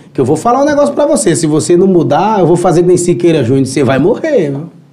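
Noticeable background noise comes through as a man speaks at a high pitch. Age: 30s. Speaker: musician. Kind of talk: casual chat.

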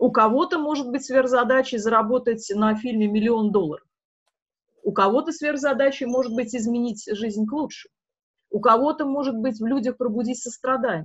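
The woman's voice sits high, with ordinary pitch variation. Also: moderate pace. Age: 40s. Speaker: filmmaker and forum moderator. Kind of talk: interview. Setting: forum event.

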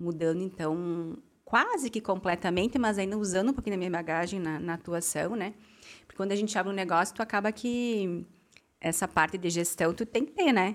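A woman talks at a fairly quick pace in an ordinary speaking voice, at medium pitch with ordinary pitch variation. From southern Brazil, Rio Grande do Sul. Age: 30s. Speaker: school founder and former finance manager. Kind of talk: interview conversation.

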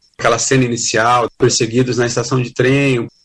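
A man with a medium pitch and a somewhat breathy voice talks at a moderate pace. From Brazil, Santos (São Paulo coast). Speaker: music critic and journalist. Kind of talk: pre-recorded segment talk.

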